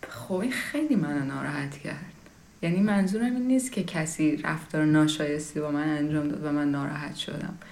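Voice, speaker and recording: A woman speaks at a moderate pace in a very deep, low voice with lively intonation, over noticeable background noise and audible room echo. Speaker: podcast host. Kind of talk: personal monologue.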